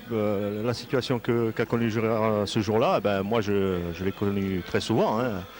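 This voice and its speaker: In a Corsican accent, a man talks with a fairly low pitch. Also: fairly even intonation, fairly slow pace, hardly any pauses. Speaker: football pundit, former player. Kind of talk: live match commentary. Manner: halting, many hesitations.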